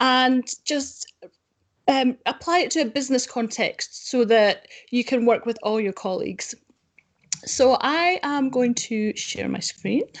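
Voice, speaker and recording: A woman's high voice with a Scottish accent, ordinary pitch variation, a fairly slow pace and a quiet background. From Scotland. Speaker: data quality consultant; webinar presenter. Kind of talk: conference talk. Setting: video call with screen share. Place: home room. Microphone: webcam.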